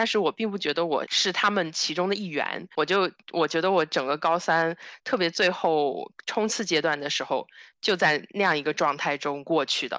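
A woman with an unremarkable speaking voice talks at a fairly quick pace, her intonation lively. The sound is dry and close, with no echo. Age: 20s. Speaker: podcast co-host, human geography PhD student. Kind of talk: casual chat.

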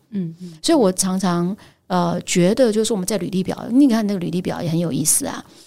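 Here a woman talks at a fairly quick pace. Her medium-pitched voice has a dark, mellow tone. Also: ordinary pitch variation. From Taiwan, Pingtung. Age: 50s. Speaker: headhunting firm founder. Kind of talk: interview.

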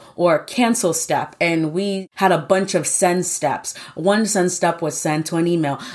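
Over noticeable background noise, a woman with an American accent talks at a fairly low pitch with ordinary variation. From New York. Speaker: software engineer. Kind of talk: interview.

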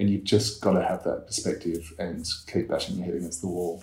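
A man with an Australian accent speaks in a dark, mellow tone that is somewhat breathy. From Perth, Western Australia. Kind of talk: interview. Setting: in a house.

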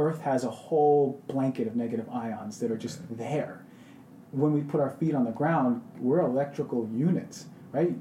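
This man has a normal speaking voice, talking at a moderate pace with a medium pitch and ordinary pitch variation. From Queens, New York. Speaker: functional medicine doctor. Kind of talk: casual interview.

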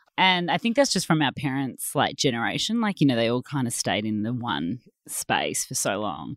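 On a very clean recording with a silent background and a dry, close sound with no echo, a woman with an Australian accent speaks at a moderate pace in a very deep, low pitch, with vocal fry and very wide pitch swings. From Australia, Melbourne. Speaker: textile designer and business owner. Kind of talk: casual chat.

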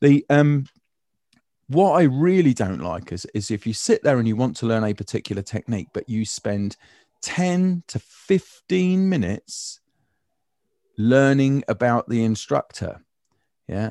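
A man's medium-pitched, dark, mellow voice in a British accent, at a fairly slow pace with long, frequent pauses and very wide pitch swings, in a dry, close sound with no echo over a quiet background. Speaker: design trainer and educator. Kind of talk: casual chat. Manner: humorous, joking.

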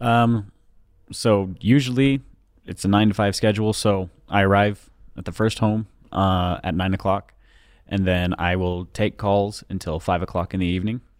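With an American accent and a normal speaking voice, a man speaks at a fairly low pitch and moderate pace with fairly even intonation, in a very clean recording with a silent background. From Utah, US. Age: 20s. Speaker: drainage technician. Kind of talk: casual chat. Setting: studio.

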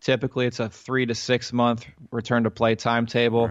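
Speaking in a Midwestern American accent, the man has a medium-pitched voice. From US Midwest (central Ohio). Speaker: physical therapist and fantasy injury analyst. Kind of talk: podcast interview, explaining injuries.

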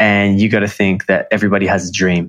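A man speaks with an Australian accent. His pitch is fairly low. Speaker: emotional intelligence coach, former model. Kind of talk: interview conversation. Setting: video call.

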